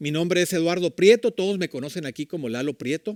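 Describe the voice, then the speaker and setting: A man talks at a fairly quick pace in a fairly high pitch, with a normal speaking voice. The recording is very clean with a silent background, and the sound is dry and close with no echo. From Mexico, Tijuana. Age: 60s. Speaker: church leader, preacher. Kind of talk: sermon. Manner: conversational, with filler words.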